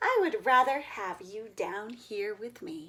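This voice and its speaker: Putting on a character voice, a woman speaks high and fairly slowly. Her pitch swings very wide. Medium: read story.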